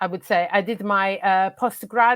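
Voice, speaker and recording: A woman talks at a fairly slow pace with fairly even intonation. The sound is dry and close with no echo, on a very clean recording with a silent background. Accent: Italian. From Italy. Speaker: football coach and academy manager. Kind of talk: interview conversation. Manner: halting, many fillers.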